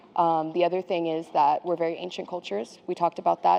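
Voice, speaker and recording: A woman's fairly low voice with an American accent, at a very fast pace. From China (Beijing), international school. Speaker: artist and educator. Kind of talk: interview testimony. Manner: casual, with fillers.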